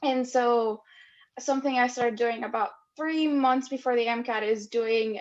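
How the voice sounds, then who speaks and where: A woman with a non-native accent, a high pitch, ordinary pitch variation and a moderate pace. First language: not English. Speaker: medical school applicant. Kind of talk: panel discussion.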